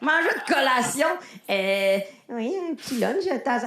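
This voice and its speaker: In a Lac-Saint-Jean accent, a woman with a high pitch talks with lively intonation, with audible room echo and noticeable background noise. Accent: Lac-Saint-Jean Quebec French. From Quebec, Lac-Saint-Jean. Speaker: stand-up comedian. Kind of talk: improvised stand-up. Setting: stage with audience. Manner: halting.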